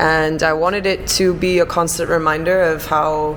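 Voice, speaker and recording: Speaking with an American accent, a woman of fairly low pitch keeps a fairly even intonation amid noticeable background noise and audible room echo. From Chicago, US Midwest. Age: 30s. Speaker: bar manager. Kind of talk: interview.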